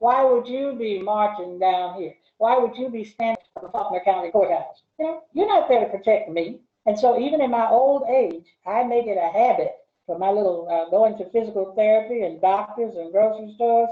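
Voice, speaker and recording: In an Arkansas accent, a woman with a fairly high pitch talks at a fairly quick pace with lively intonation. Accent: Southern US (Arkansas). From US South. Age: 70s. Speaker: retired English professor. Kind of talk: interview conversation. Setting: video call.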